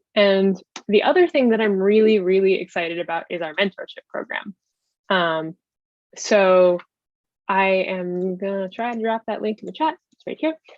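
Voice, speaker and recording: A woman of medium pitch, with ordinary pitch variation and big swings in loudness. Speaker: webinar panelist presenting a research network program. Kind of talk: webinar presentation. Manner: fast.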